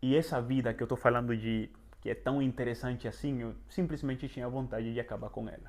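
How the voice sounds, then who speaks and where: Speaking with a Venezuelan accent, a man talks fairly quickly in a medium pitch. His intonation stays fairly even, and the background is quiet. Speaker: travel and self-improvement youtuber. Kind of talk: personal testimony vlog. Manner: halting, many fillers.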